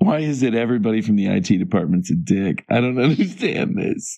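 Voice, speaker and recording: Putting on a raspy character voice, a man talks at a fairly quick pace at a medium pitch with very wide pitch swings. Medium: actual play. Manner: casual, quick to take offense.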